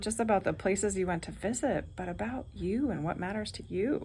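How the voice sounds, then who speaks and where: A woman talks at a moderate pace in a somewhat breathy, medium-pitched voice with ordinary pitch variation. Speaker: retreat leader. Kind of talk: casual vlog talk.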